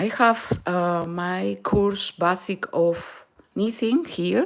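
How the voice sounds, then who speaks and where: This woman's pitch is fairly low. She talks at a very slow pace. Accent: Peruvian. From Peru, Lima. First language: Spanish. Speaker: knitting and crochet instructor. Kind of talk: live-stream tutorial. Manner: halting, with fillers and Spanish code-switching.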